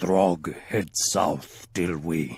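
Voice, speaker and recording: Putting on a character voice, a man growls at a very deep, low pitch. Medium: read story. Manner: broken speech, third person.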